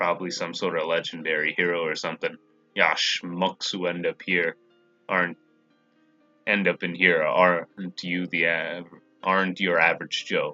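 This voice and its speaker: Over music in the background, a man does a put-on character voice that is gravelly and very deep and low in pitch, at a moderate pace. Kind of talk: gruff, slangy.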